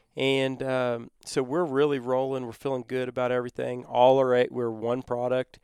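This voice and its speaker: Speaking with a Texan accent, a man keeps a medium pitch and a moderate pace, with hardly any pauses and monotone, flat intonation. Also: dry, close sound with no echo. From Texas. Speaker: company co-founder. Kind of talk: casual interview.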